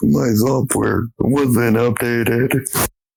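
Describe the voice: A man puts on a robotic character voice. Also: medium pitch for a man.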